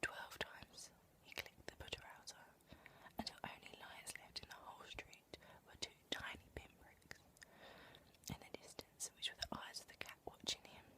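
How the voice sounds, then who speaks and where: Whispering at a moderate pace, the speaker leaves long, frequent pauses, and the loudness swings widely. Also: woman. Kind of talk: whispered audiobook reading. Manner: whispered, soft-spoken.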